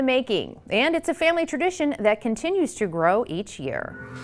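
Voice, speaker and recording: On a very clean recording with a silent background, a woman at a high pitch speaks at a moderate pace, with very wide pitch swings. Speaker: news anchor. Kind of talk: news teaser read.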